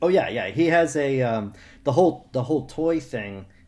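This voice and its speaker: A man's dark, mellow tone. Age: 30s. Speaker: political cartoonist. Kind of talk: casual chat.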